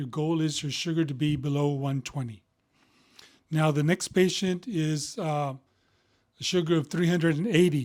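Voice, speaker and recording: A plain, everyday voice speaks at a moderate pace with fairly even intonation in a very clean recording with a silent background. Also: man. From Texas, Houston. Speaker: physician. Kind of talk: casual medical explainer. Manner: conversational with frequent fillers.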